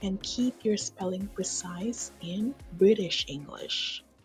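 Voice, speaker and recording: Over music in the background, a woman talks at a very slow pace with a medium pitch and ordinary pitch variation. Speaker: English teacher. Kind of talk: exam instructions narration.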